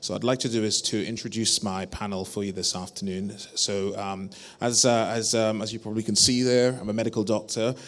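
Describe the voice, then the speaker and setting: In a British accent, a man speaks at a fairly low pitch in a monotone with flat intonation. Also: fairly quick pace. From UK. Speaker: panel moderator, GP. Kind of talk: conference panel moderation. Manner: halting, many fillers.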